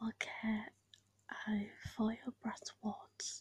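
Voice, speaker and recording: A soft-spoken whisper. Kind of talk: story reading. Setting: home recording, basic equipment. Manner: soft-spoken, whispered.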